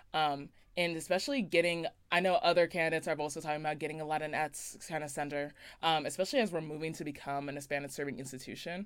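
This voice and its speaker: Speaking at a very fast pace, a woman with a very deep, low pitch keeps her intonation fairly even in a very clean recording with a silent background. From Las Vegas, Nevada. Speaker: student election candidate. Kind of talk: interview. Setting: college radio studio.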